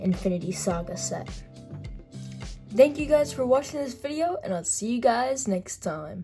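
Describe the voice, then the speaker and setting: A woman speaks at a fairly slow pace in a medium pitch. Music plays in the background. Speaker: toy figure customizer. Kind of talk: casual hobby tutorial to camera.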